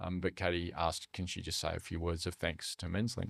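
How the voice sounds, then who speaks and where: A man with an Australian accent, a very deep, low pitch and a fairly quick pace. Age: 60s. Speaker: charity leader for young men's mental health. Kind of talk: podcast interview. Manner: casual, many fillers.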